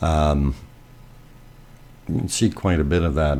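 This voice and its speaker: In a very deep, low pitch, a man talks at a moderate pace with fairly even intonation. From Germany. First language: German. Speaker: live streamer. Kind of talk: live stream commentary. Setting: live stream. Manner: halting, many fillers.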